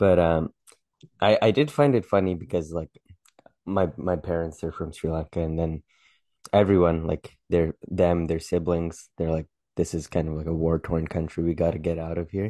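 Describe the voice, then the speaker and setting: A man speaks at a moderate pace with a very deep, low pitch, a dark, mellow tone, and fairly even intonation, in a dry, close sound with no echo and a quiet background. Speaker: podcast co-host, amateur comedian. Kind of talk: casual chat. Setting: home recording, video.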